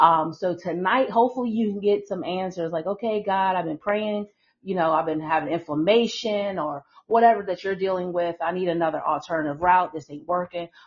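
A woman speaks at a fairly quick pace in an ordinary speaking voice. Her pitch is medium, with ordinary variation. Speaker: podcast host. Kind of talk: live-streamed chat. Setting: online livestream.

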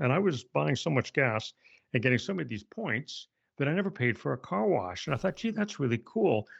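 A man talks at a moderate pace with a slight Canadian accent. His pitch swings very widely. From Canada. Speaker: author and speaker. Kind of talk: podcast interview.

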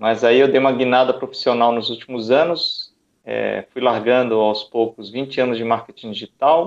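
A man with a normal speaking voice talks at a moderate pace, medium in pitch and fairly even in intonation. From Salvador, Bahia, Brazil. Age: 40s. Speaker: origami artist and speaker. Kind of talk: casual chat. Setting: video call.

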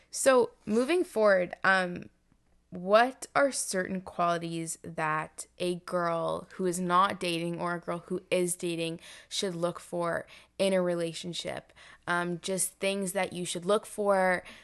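Over a quiet background, a woman talks at a very slow pace with a Canadian accent. Her intonation stays fairly even. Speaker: podcast host. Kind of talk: casual interview.

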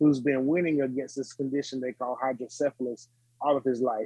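Man with a Southern US accent, medium pitch, fairly quick delivery and flat, monotone intonation. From North Carolina (Smithfield). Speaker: gospel musician and author. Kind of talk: interview. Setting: remote virtual studio.

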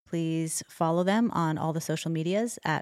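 A woman with a Canadian accent, an unremarkable speaking voice, a fairly low pitch, ordinary pitch variation and a fairly quick pace. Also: dry, close sound with no echo. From Alberta, Canada. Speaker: podcast co-host. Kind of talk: interview conversation. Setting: video call.

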